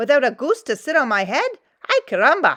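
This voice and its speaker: Doing a put-on character voice, a woman speaks fairly quickly at a high pitch with very wide pitch swings. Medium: read story. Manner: excitable.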